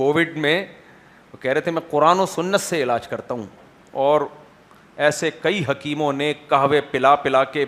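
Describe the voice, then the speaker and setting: A man's fairly high-pitched voice, a plain, everyday voice. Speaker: Islamic scholar giving a sermon. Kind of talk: Islamic sermon (bayan) delivered to a live audience. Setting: lecture hall with microphone. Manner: conversational, rhetorical questions to audience.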